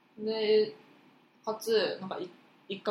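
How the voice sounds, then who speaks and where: Noticeable background noise runs under the recording. A woman does the talking. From Osaka. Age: 20s. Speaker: podcast co-host, university student. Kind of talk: casual chat.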